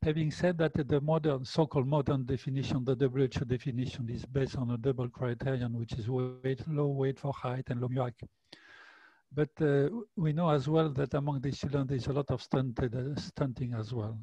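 A man's somewhat breathy, dark, mellow voice at a moderate pace, fairly even in intonation, dry with no echo over a quiet background. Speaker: nutrition researcher panelist; panelist. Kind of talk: academic panel discussion. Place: home room. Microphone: headset.

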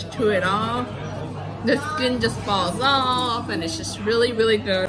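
A woman speaks at a fairly slow pace over clear background music. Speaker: food vlogger. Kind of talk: casual vlog chat. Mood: delighted, enthusiastic. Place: cafe.

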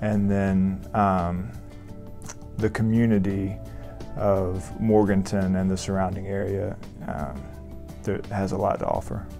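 Over clear background music, a man with a Southern US accent talks fairly slowly in a fairly low voice, with fairly even intonation and long, frequent pauses. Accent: Southern American. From Augusta, Georgia, USA. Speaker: family medicine resident doctor. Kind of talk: interview answer. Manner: hesitant, many fillers. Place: office. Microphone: lapel.

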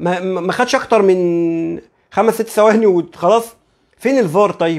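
A man speaks in an animated tone with an Egyptian accent. His pitch is high, and the background is quiet. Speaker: football YouTuber; football commentator vlogger. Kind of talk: live stream commentary; casual sports commentary. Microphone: lapel.

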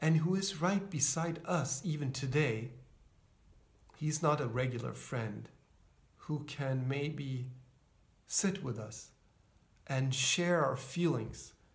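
Speaking at a very slow pace, a man uses a fairly high, somewhat breathy voice. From Sweden. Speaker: pastor. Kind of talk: sermon. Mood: calm, reassuring. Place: home room. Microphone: phone near.

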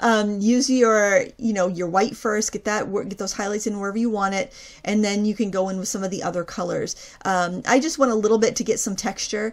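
At a fairly quick pace, a woman speaks in a plain, everyday voice of medium pitch with fairly even intonation. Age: 40s. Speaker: craft YouTuber. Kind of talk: tutorial. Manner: casual, with frequent fillers.

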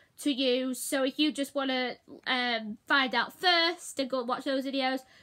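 Against a quiet background, a woman uses a raised, projected voice with fairly even intonation. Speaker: vlogger. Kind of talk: casual vlog chat. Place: home room. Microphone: phone near.

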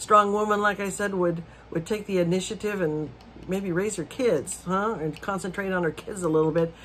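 A woman speaks at a medium pitch and a moderate pace. Her intonation is lively, with light background noise behind her. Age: 60s. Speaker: video blogger. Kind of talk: casual monologue rant. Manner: animated. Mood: disapproving, indignant. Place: home room. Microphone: phone near.

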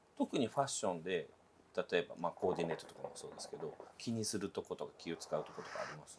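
A man speaks at a very fast pace with big swings in loudness amid noticeable background noise. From Japan. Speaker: interviewer. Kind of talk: interview.

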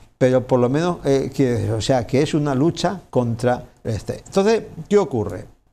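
Using lively intonation, a man talks in a dark, mellow tone at a medium pitch. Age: 70s. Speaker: businessman; TV interview guest. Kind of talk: interview. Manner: animated. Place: studio.

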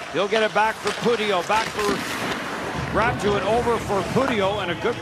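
Against loud background noise, a man speaks with a dry sound with no echo. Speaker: hockey commentator. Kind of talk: live sports commentary, rapid play-by-play of action on the ice. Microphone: headset.

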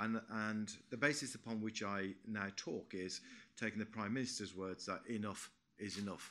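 A man speaks at a fairly low pitch with a bright, sharp tone. His intonation is fairly even and his pace moderate. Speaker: retired police commander. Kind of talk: conference panel talk. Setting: stage with audience. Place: meeting room.

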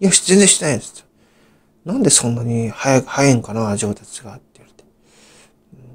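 Somewhat breathy, a man talks at a fairly quick pace with lively intonation, big swings in loudness, and long, frequent pauses. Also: medium pitch for a man. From Japan, Saitama (Gyoda). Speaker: YouTuber. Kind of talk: storytelling monologue. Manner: halting, many fillers.

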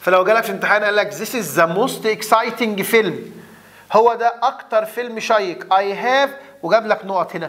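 Speaking at a moderate pace, a man with an Egyptian accent uses a high pitch and an animated tone. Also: ordinary pitch variation. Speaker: English teacher. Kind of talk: lecture. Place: studio.

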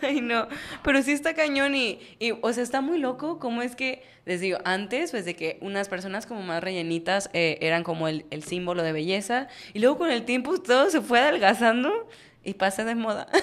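A woman speaks in an animated tone at a fairly high pitch. Her pitch swings very widely. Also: moderate pace. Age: 20s. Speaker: podcast co-host. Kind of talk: casual chat. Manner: animated, laughing often. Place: studio. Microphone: studio mic.

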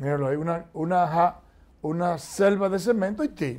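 A man speaks at a moderate pace with a slightly mellow tone. His pitch sits fairly high, with ordinary pitch variation.

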